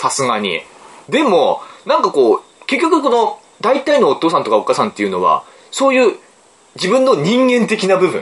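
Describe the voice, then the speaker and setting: A man's moderately paced speech comes with clearly audible noise behind it. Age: 40s. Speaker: book podcast host. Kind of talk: casual chat.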